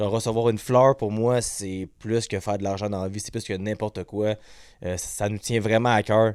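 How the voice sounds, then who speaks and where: In a fairly low, dark and mellow voice, a man speaks at a moderate pace with monotone, flat intonation. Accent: Quebec. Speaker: podcast host. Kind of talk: casual chat. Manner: stutters.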